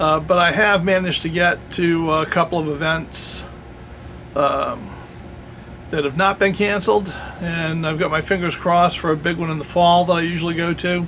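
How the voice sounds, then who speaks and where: Over noticeable background noise, a man with a high pitch talks at a moderate pace in a monotone, flat intonation. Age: 60s. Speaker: YouTuber reviewing historical firearms and swords. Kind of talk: channel update talk to camera. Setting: outdoors in woods. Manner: casual, with many fillers.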